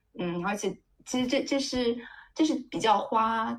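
The voice carries vocal fry and very wide pitch swings. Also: woman. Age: 30s. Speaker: tech worker sharing egg-freezing experience. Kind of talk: casual chat.

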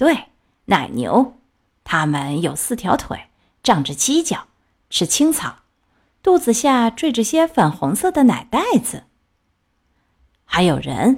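A woman uses a put-on character voice at medium pitch with a slightly husky edge and very wide pitch swings. She speaks at a slow pace in a very clean recording over a silent background.

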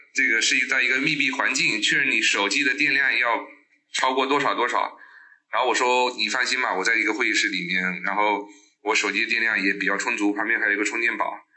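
A man talks at a fairly quick pace with very even loudness in audible room echo. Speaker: internet industry professional, scam target. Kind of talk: interview storytelling.

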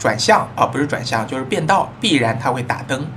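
With noticeable background noise behind him, a man talks at a medium pitch. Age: middle-aged. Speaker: podcast host and immigration consultant. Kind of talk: casual monologue.

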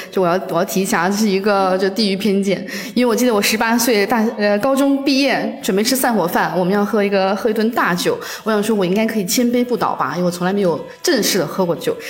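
Very fast delivery with very even loudness and ordinary pitch variation comes through noticeable background noise and audible room echo. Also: woman, medium pitch for a woman. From northeast China. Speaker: office worker. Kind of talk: casual chat.

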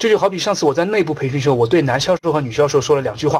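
Fairly high-pitched and animated, a man talks at a very fast pace. His intonation is lively. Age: 30s. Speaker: investment trainer. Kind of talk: lecture.

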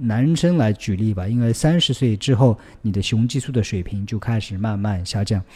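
Recorded very cleanly against a silent background, a man with a dark, mellow tone and fairly low pitch speaks at a moderate pace with ordinary pitch variation. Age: 40s. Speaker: fitness coach and podcast host. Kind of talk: listener Q&A advice monologue. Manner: hesitant with frequent fillers.

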